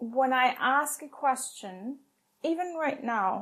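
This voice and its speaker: A woman is speaking. She has a non-native accent. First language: not English. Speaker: tech operations leader. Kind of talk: podcast interview.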